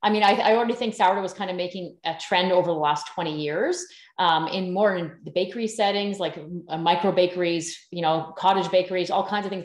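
A woman with a Canadian accent speaks very fast at a medium pitch. The background is quiet, with audible room echo. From Canada, northern British Columbia. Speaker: sourdough baking teacher; podcast guest, baking teacher. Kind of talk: casual interview. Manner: animated. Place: home room. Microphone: video call.

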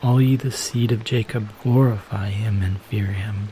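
Over background music, a man speaks at a fairly slow pace and fairly low pitch, with a gentle, calm tone and fairly even intonation. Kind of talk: calm scripture reading for relaxation and sleep. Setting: background waterfall sounds. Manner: soft, gentle, calm.

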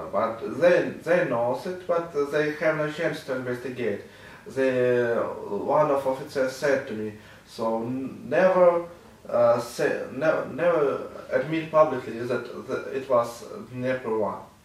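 Talking at a very slow pace, a man is heard with audible room echo. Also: fairly high pitch for a man, ordinary pitch variation. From Ukraine, Kharkiv; Ukraine. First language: Russian or Ukrainian. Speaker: war journalist. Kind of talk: interview testimony. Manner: halting, many fillers. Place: office.

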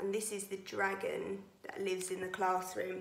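A woman speaks in an animated, warm tone at a moderate pace. Room echo can be heard. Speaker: nursery teacher. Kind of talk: reading poems aloud to young children, playful storytelling performance. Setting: video message to pupils. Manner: animated, expressive, sing-song with teacher-like clarity; warm, cheerful, gently paced for small children. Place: home room. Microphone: phone near.

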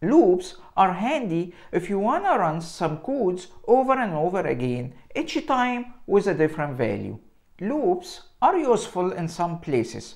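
A man's high voice with very wide pitch swings at a fairly slow pace, against a quiet background. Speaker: presenter. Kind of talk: tutorial. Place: home room. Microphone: lapel.

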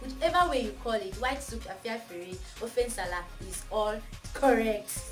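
A woman talks while music plays clearly behind her. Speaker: cooking channel host. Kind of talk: casual vlog chat. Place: home room. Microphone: camera far.

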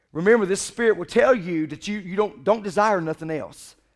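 In a quiet background, a man speaks at a high pitch with ordinary pitch variation. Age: 40s. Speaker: pastor. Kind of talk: sermon. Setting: church. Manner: animated. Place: church.

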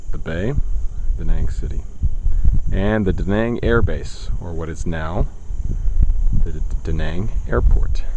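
A man with a very deep, low pitch at a fairly slow pace, with long, frequent pauses, noticeable background noise and a dry sound with no echo. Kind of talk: casual travel narration. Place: open country. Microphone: phone near.

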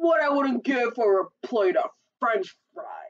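A woman's put-on character voice at a slow pace, fairly high in pitch, with big pitch swings.

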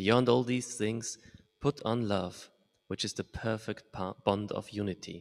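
A man speaks at a fairly slow pace in a medium pitch, with fairly even intonation, long and frequent pauses, and a dry, close sound with no echo. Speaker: student. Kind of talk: prayer request and scripture reading. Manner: halting.

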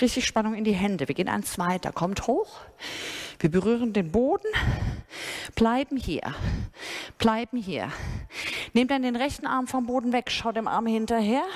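Speaking at a moderate pace, a woman leaves long, frequent pauses. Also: quiet background. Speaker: fitness instructor. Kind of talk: workout instruction. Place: gym.

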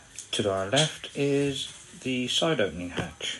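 A man at a medium pitch with lively intonation, over noticeable background noise. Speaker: narrowboat owner. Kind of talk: amateur video home tour. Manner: casual, hesitant.

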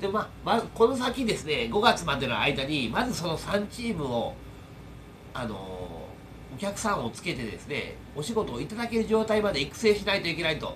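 A man with a high pitch and very wide pitch swings talks at a moderate pace over light background noise. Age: 40s. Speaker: YouTuber and air-conditioner installation tradesman; YouTuber. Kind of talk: casual vlog monologue. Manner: rambling with many fillers. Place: home room. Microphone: phone near.

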